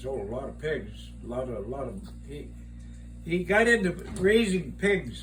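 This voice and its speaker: With music in the background, a man with an American accent speaks. He leaves long, frequent pauses, and his loudness swings widely. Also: moderate pace. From Iowa, USA. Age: 80s+. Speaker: retired farmer and gardener. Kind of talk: casual conversation, reminiscing.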